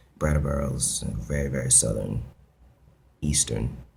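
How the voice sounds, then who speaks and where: A man speaks in a very deep, low voice. His intonation stays fairly even. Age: 20s. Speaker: video blogger. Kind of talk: casual vlog monologue. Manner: hesitant, many fillers.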